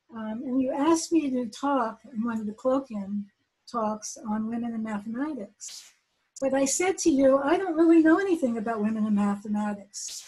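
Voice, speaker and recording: A woman's fairly high voice at a fairly quick pace, lively in intonation, with a dark, mellow tone. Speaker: mathematician. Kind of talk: speech. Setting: video call.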